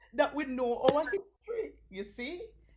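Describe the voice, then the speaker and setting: A woman with a Jamaican accent swings her pitch very widely over noticeable background noise. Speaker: storyteller. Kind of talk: children's story reading. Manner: animated.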